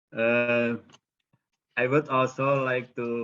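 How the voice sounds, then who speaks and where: A man speaks with an Indonesian accent. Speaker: professor, arts researcher. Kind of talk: conference presentation. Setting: webinar video call. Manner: halting, many fillers.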